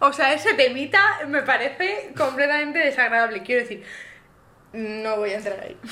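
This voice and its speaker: A raised, projected, high-pitched woman's voice at a moderate pace, with very wide pitch swings, big swings in loudness and noticeable background noise. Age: 20s. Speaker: podcast co-host, nursing student. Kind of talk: casual chat.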